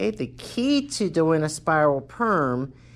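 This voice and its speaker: This woman's pitch is very deep and low. The recording is very clean, with a silent background. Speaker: cosmetology instructor. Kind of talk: tutorial. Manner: slow.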